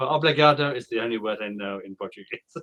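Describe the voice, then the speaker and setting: This is a man with a bright, sharp tone. The sound is dry and close, with no echo. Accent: British. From United Kingdom. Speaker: online English tutor. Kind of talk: online English lesson conversation.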